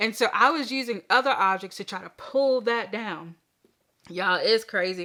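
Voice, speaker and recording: A woman with an American accent speaks at a moderate pace, her fairly high voice bright and sharp with lively intonation and an animated tone. Her loudness swings widely, and the recording is very clean with a silent background. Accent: Southern US accent, noticed by city people. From US South, Southern Virginia. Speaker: crochet YouTuber. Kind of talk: casual chat.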